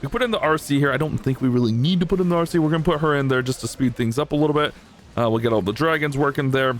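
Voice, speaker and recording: Talking at a very fast pace, a man speaks in a fairly high pitch. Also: ordinary pitch variation, very even loudness. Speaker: gaming youtuber. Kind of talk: live gameplay commentary. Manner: animated.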